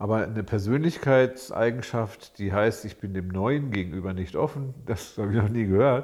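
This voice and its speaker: Speaking at a moderate pace with hardly any pauses, a man uses an ordinary speaking voice at medium pitch with ordinary pitch variation. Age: 60s. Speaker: psychologist, podcast co-host. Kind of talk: casual chat.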